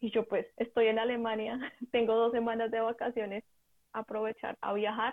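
With a monotone, flat intonation, a woman speaks at a moderate pace in a fairly high pitch. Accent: Bogotá. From Colombia (Bogotá / Ubaté). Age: 20s. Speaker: advertising professional on volunteer exchange. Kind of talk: interview conversation.

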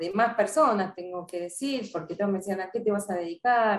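A woman speaks with a Rioplatense accent. Her pitch sits in the middle range. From Argentina, Buenos Aires area (Avellaneda). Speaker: sport psychologist. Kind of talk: interview. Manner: hesitant, many fillers and repetitions.

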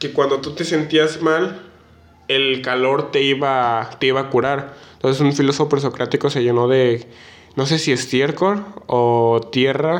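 Speaking with fairly even intonation, a man goes at a fairly slow pace. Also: fairly high pitch for a man. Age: 19. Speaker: podcast co-host. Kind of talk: casual chat. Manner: halting, many fillers and repetitions.

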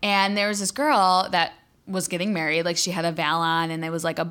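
A woman speaks loudly at a fairly quick pace, her pitch fairly low. The tone is bright and sharp, on a very clean recording with a silent background. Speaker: podcast co-host. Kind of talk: casual chat, profane. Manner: loud, hyper, animated; excitable, swears constantly.

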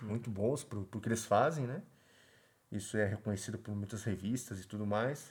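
Delivered at a moderate pace, the voice is somewhat breathy with fairly even intonation. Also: man, fairly low pitch for a man. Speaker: podcast co-host. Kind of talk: casual chat.

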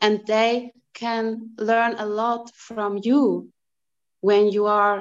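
Speaking in a monotone with flat intonation, a woman with a German accent uses a fairly high pitch. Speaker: energy reader. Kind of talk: group discussion. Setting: video call.

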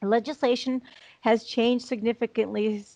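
A woman with a Chicago accent is heard in a dry, close recording with no echo. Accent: American, Chicago. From US Midwest, Chicago. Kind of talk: interview.

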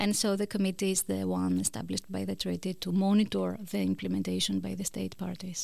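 A woman's voice in a Greek accent with hardly any pauses, on a very clean recording with a silent background. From Greece. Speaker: law professor. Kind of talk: interview. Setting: studio. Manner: halting.

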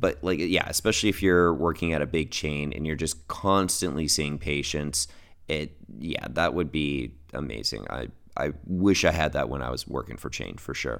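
A man speaks at a moderate pace in a very deep, low voice with vocal fry. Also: ordinary pitch variation. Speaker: pharmacist podcast host. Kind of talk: casual solo podcast monologue. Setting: home recording with microphone.

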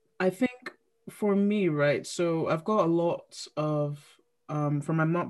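This is a woman with a fairly low pitch. She has a normal speaking voice. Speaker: podcast co-host. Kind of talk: casual chat.

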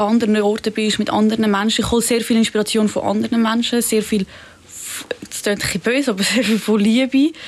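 Speaking at a fairly quick pace, a woman with a fairly high pitch keeps a monotone, flat intonation over noticeable background noise. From Zurich, Switzerland. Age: young. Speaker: pop-art painter. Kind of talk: interview. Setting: studio.

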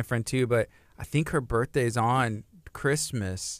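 In a very clean recording with a silent background, a man with an American accent and a plain, everyday voice speaks at a moderate pace and medium pitch, with fairly even intonation. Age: 30s. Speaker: radio host. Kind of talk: radio interview. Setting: radio studio.

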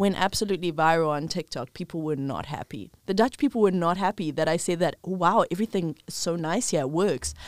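A woman with a normal speaking voice talks at a fairly quick pace with hardly any pauses, her pitch fairly low with ordinary variation, on a very clean recording with a silent background. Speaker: podcast host. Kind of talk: casual chat.

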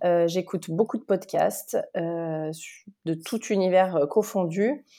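Very slowly, a woman talks in a dark, mellow tone with ordinary pitch variation. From France, Lyon. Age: 30s. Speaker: podcaster. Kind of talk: interview. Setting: remote recording. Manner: halting.

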